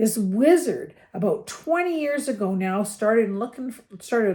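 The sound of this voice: The speaker reads in an unforced voice, the intonation moving in a lively way.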